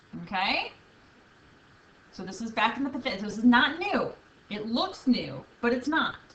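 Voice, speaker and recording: A woman with a high pitch speaks at a moderate pace, with lively intonation and big swings in loudness. She leaves long, frequent pauses, and there is noticeable background noise. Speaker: math teacher. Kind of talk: video lesson.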